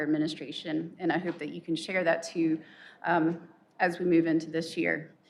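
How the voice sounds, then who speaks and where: Soft-spoken, a woman talks at a fairly quick pace. Her pitch is fairly low. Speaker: faculty senate president, professor. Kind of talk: formal address at faculty meeting.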